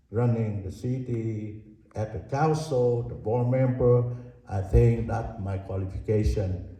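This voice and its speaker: With a Vietnamese accent, a man speaks at a fairly slow pace and medium pitch with ordinary pitch variation, over noticeable background noise and audible room echo. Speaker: city council candidate. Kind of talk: candidate forum speech.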